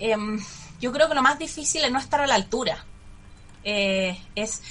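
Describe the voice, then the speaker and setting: With a bright, sharp tone, a woman's fairly high voice makes very wide pitch swings. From Chile, Santiago. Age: 30s. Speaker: lawyer and public security official running for mayor. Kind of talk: radio interview.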